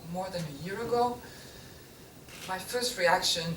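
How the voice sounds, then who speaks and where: Noticeable background noise and audible room echo fill this recording of a woman. She talks at a fairly slow pace with ordinary pitch variation. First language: not English. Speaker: printmaker. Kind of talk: artist talk to an audience. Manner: halting, with self-corrections.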